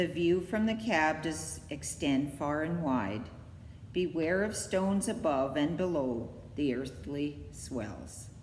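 In a sing-song delivery with very wide pitch swings, a woman speaks very slowly in a very deep, low voice, with audible room echo and light background noise. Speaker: library poetry reader. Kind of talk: poem reading. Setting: online video. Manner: measured, steady, sing-song rhythm. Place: hall. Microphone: phone near.

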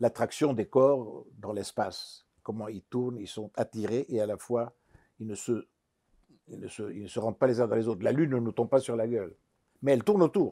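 In a dark, mellow tone, a man talks at a moderate pace with ordinary pitch variation and big swings in loudness, the background quiet. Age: old. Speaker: psychiatrist and psychologist; interviewee. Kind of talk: interview. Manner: halting. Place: home room.

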